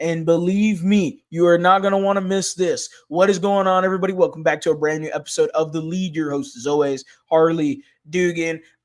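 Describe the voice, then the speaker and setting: Loud and animated in tone, a man speaks at a high pitch and a fairly quick pace with ordinary pitch variation. The recording is very clean, with a silent background. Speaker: sports channel host. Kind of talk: casual sports reaction vlog.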